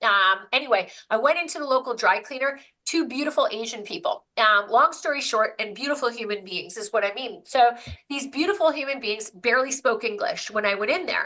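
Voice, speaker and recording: A woman speaks at a high pitch and a fairly quick pace. Her tone is animated, bright and sharp, with lively intonation. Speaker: business coach. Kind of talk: webinar presentation. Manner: fast.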